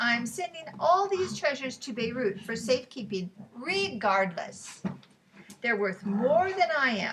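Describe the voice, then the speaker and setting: Putting on a gruff character voice, a woman speaks at a fairly slow pace in a high pitch with very wide pitch swings. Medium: read story. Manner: gruff, scolding.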